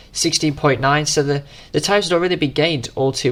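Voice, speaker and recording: The man talks at a very fast pace. His accent is British. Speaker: sim racing gamer commentating own race. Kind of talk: race commentary voiceover. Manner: casual, hesitant with fillers.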